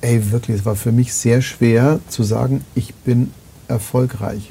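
The speaker is a man at a medium pitch. He talks at a moderate pace. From Bavaria, near Munich. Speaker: podcast host. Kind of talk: casual interview. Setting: live-streamed talk, studio. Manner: loud.

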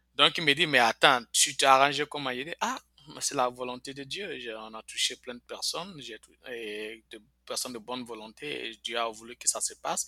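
A man's bright, sharp voice of medium pitch, with ordinary pitch variation, a moderate pace, big swings in loudness and a dry, close sound with no echo. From Ivory Coast, Bouaké. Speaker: immigrant telling life story. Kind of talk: interview testimony. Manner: hesitant, with fillers.

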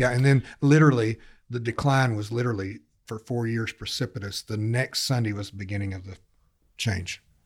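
A man talks at a fairly quick pace with fairly even intonation and a somewhat breathy voice. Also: medium pitch for a man. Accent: American. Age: 60s. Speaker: senior pastor. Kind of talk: casual interview chat, personal storytelling.

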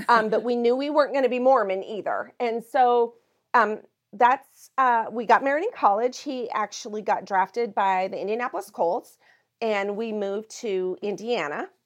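A woman with an American accent has a plain, everyday voice at a fairly high pitch and a moderate pace. Her pitch variation is ordinary, and the background is quiet. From Montana. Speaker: pastor. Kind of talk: interview.

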